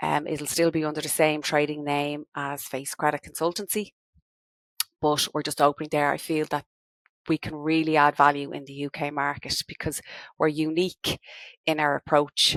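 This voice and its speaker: Speaking in a Dublin accent at a moderate pace, a woman keeps a monotone, flat intonation in a very deep, low pitch. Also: very clean recording, silent background. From Ireland, Dublin. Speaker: business owner, credit management consultant. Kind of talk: podcast interview.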